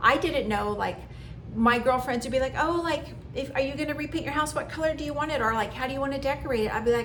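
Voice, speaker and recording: Amid audible room echo, a woman speaks very fast at a high pitch with ordinary pitch variation. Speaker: lifestyle vlogger. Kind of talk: personal monologue.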